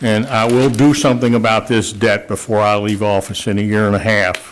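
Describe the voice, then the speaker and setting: Noticeable background noise accompanies a man speaking at a moderate pace and medium pitch. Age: 60s. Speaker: mayor chairing city council meeting. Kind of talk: council meeting statement. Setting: public council meeting with audience. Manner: blunt, halting with fillers.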